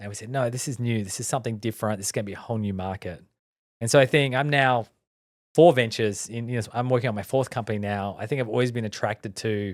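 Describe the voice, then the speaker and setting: A man with an Australian accent at a medium pitch, talking very fast with ordinary pitch variation and big swings in loudness, on a very clean recording with a silent background. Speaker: tech entrepreneur, company founder. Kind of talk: podcast interview. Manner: frequent fillers and restarts.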